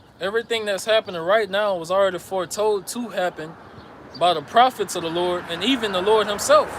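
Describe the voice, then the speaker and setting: Over noticeable background noise, a man with an American accent talks at a fairly quick pace in a high pitch, with ordinary pitch variation. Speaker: religious teacher. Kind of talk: sermon. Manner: stuttering at times.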